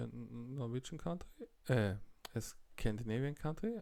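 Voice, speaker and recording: Here a man is speaking. He has a German accent. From Austria. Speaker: YouTube reactor. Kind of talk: reaction video commentary. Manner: occasional repetitions and blocks.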